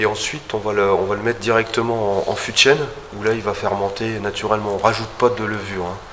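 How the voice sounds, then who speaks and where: Over noticeable background noise and audible room echo, a man with a fairly low pitch talks at a very fast pace with monotone, flat intonation. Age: 50s. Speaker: winemaker. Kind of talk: winery tour explanation. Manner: halting, many hesitations.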